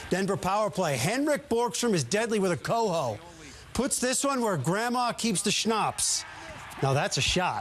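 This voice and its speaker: A man's upbeat, energetic delivery at a moderate pace, with very wide pitch swings and noticeable background noise. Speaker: TV sports anchor. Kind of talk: TV sports anchor newscast. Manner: upbeat, energetic, punchy.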